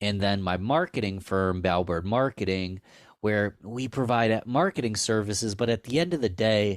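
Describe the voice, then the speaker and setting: A man with an American accent talks at a moderate pace in a fairly low pitch with ordinary pitch variation and very even loudness, the sound dry and close with no echo in a very clean recording over a silent background. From Rochester, New York, US. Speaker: marketing agency owner and podcaster. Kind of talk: interview conversation. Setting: podcast recording.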